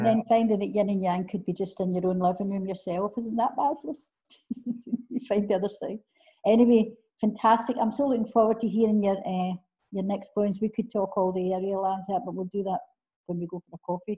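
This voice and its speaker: With a Scottish accent, a woman of medium pitch talks at a fairly quick pace, her somewhat breathy voice showing ordinary pitch variation over a quiet background. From Scotland. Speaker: interviewer. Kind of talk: interview question. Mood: warm, enthusiastic. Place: home room. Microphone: video call.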